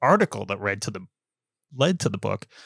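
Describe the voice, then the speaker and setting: Captured in a very clean recording with a silent background and a dry, close sound with no echo, a man with an American accent talks at a very fast pace. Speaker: journalist and author. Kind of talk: podcast interview.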